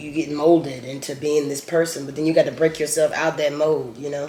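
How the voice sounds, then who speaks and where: A man at a moderate pace, over noticeable background noise. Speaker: mukbang vlogger. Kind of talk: casual chat.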